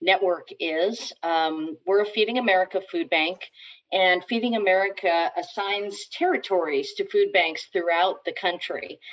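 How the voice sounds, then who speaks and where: At a fairly slow pace, a woman speaks at a medium pitch. She has a plain, everyday voice. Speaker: food bank executive. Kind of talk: casual interview.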